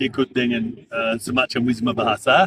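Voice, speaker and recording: Dry, close sound with no echo on a man speaking at a moderate pace, with ordinary pitch variation. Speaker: former diplomat and interpreter. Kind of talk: interview. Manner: hesitant, many fillers.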